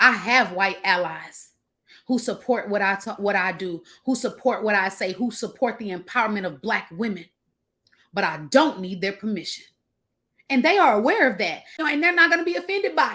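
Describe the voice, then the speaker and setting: Animated and fairly high-pitched, a woman speaks at a fairly quick pace. Her tone is bright and sharp, with very wide pitch swings. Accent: American. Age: 30s. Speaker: business coach. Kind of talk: motivational talk.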